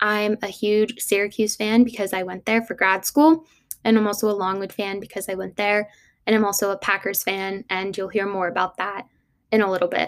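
A woman with a plain, everyday voice speaks at a fairly quick pace and medium pitch, with fairly even intonation. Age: 20s. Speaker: podcast host. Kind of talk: casual monologue.

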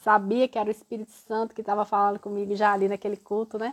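A woman's fairly high voice sounds dry and close with no echo, over a quiet background. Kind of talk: casual chat. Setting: live stream video call.

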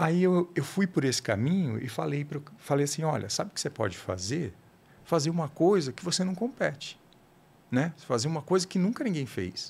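His pitch rises and falls across a very wide range. The man keeps a moderate pace. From São Paulo, Brazil. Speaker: writer and food blogger. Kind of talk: casual interview. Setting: podcast studio. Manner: halting, many repetitions.

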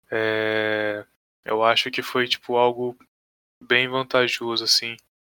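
The man's tone is bright and sharp. The sound is dry and close, with no echo. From Brazil, Rio de Janeiro state (Pinheiral). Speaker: esports coach and manager. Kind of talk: casual chat.

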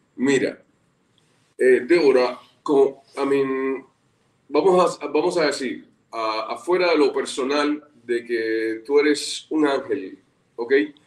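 Speaking at a very slow pace with long, frequent pauses, a man keeps a fairly high pitch with ordinary variation. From Cuba. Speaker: actor. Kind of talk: casual interview. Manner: halting, many fillers.

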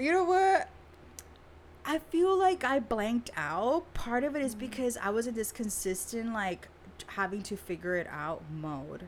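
With noticeable background noise behind her, a woman with a fairly high pitch talks at a moderate pace, her pitch swinging very widely. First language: Spanish. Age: 30s. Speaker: therapist. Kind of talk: casual interview.

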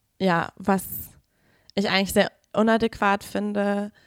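A woman's medium-pitched voice at a very slow pace. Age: 20s. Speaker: feminist activist sharing experience. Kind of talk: testimony. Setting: studio.

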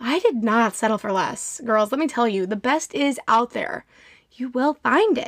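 The voice is loud and animated, with lively intonation. It moves at a fairly slow pace. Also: woman, high pitch for a woman. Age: 20s. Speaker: podcast host and nursing student. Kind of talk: casual monologue. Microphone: audio too loud, echoey room.

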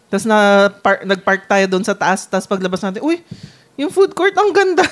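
Here is a woman with a plain, everyday voice at medium pitch. Her intonation is lively. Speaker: podcast co-host. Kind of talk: casual chat.

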